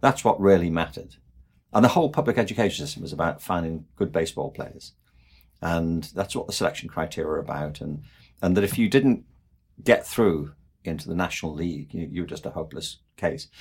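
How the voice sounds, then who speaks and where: Speaking at a fairly quick pace, a man with a very deep, low pitch uses lively intonation and big swings in loudness. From England, Liverpool. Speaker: education expert and author. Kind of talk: interview conversation.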